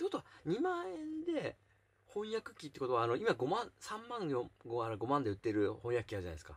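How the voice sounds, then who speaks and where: The speech moves at a fairly quick pace. Its loudness swings widely. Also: man. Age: 40s. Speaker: YouTuber; vlogger. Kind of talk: casual chat. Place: home room. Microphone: phone near.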